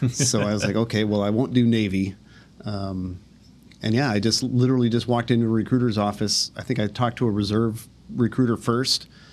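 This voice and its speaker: With an American accent, a man speaks at a fairly quick pace and medium pitch in a monotone, flat intonation. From Minnesota, US Midwest. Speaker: army general. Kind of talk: interview.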